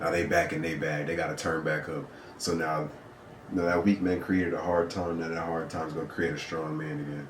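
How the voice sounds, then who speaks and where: A man talks at a fairly quick pace in a very deep, low voice with flat, monotone intonation. Noticeable background noise and audible room echo fill the recording. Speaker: podcast co-host. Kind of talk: casual chat. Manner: soft-spoken.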